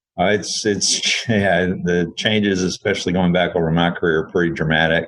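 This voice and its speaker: A man speaks with a Texan accent at a moderate pace. His pitch is very deep and low. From Texas. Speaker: engineering firm CEO. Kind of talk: podcast interview.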